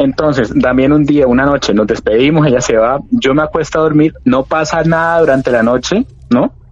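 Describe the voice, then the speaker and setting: Music plays in the background. The speech comes at a moderate pace. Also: man, very even loudness. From Cali, Colombia. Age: 20s. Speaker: storyteller sharing paranormal experience. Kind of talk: personal testimony. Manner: halting.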